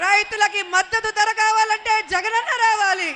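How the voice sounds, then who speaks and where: Extremely high in pitch, a woman's raised, projected voice comes through with a bright, sharp tone. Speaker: politician giving a campaign speech. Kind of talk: political rally speech. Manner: loud, rhetorical, crowd-addressing.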